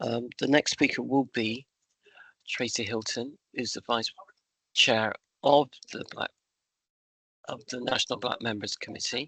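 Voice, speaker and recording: In a dry, close recording without echo, a man with a bright, sharp tone speaks fairly slowly at a medium pitch, his intonation monotone and flat, with long, frequent pauses. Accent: West Country. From West Country, England. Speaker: trade union member speaker. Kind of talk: talk at an online union meeting.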